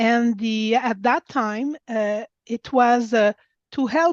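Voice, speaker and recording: Fairly slow and fairly high-pitched, a woman speaks with ordinary pitch variation. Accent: Quebec. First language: French. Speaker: women's club president. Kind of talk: webinar presentation. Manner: halting.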